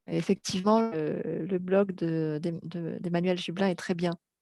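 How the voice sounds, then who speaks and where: Very clean with a silent background, the recording has a woman speaking at a fairly slow pace in a fairly low pitch, with a dark, mellow tone and monotone, flat intonation. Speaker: storyteller blogger. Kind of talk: interview.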